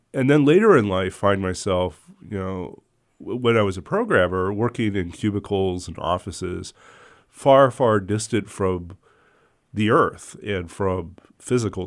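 A man with an unremarkable speaking voice talks at a fairly slow pace and a fairly low pitch. The recording is very clean, with a silent background. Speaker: radio and podcast host. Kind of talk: radio interview.

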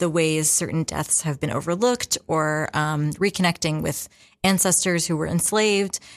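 A woman's fairly low-pitched voice, a plain, everyday voice, at a moderate pace with ordinary pitch variation, on a very clean recording over a silent background. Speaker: exhibition curator. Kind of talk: radio interview. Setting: studio.

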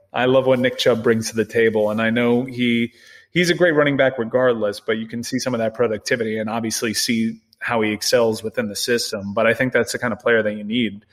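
An ordinary speaking voice with an American accent moves at a fairly quick pace with hardly any pauses. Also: man, medium pitch for a man. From Miami, Florida. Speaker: sports show producer and football fan guest. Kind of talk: casual sports podcast chat.

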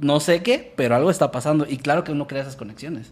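A man with an unremarkable speaking voice. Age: 20s. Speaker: horror storytelling youtuber. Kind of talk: casual chat.

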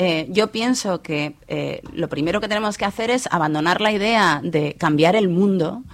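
A fairly slow delivery in a Madrid accent, with ordinary pitch variation and hardly any pauses. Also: woman, medium pitch for a woman. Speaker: journalist and author. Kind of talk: interview.

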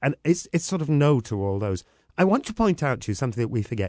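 A man with a Welsh accent is heard in a dry, close sound with no echo, against a quiet background. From Wales. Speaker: panel guest. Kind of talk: panel discussion.

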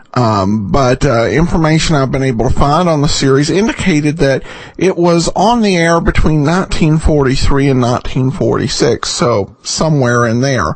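Behind a man's voice there is noticeable background noise. His intonation is lively, his loudness very even, and he leaves hardly any pauses. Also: fairly slow pace. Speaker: podcast host of old-time radio show. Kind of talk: casual host intro and outro, informal commentary. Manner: conversational, hesitant with many filler words.

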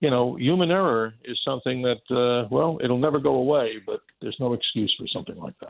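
A man speaks at a medium pitch and a fairly quick pace. His intonation is lively, in an ordinary speaking voice. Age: 60s. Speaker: space expert and radio broadcaster. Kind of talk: casual chat.

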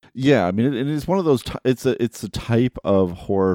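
A man's dark, mellow tone at a fairly quick pace, dry and close with no echo in a very clean recording with a silent background. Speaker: film critic podcast co-host. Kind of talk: casual film discussion.

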